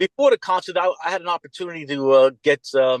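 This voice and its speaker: A man talks at a fairly quick pace in a New York accent. The sound is dry and close with no echo, over a quiet background. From Mount Vernon, New York (US Northeast). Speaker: music fan and record collector. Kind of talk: interview.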